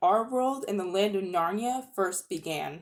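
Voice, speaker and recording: A woman with an ordinary speaking voice, medium pitch and lively intonation, at a moderate pace. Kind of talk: dramatic audiobook reading for children.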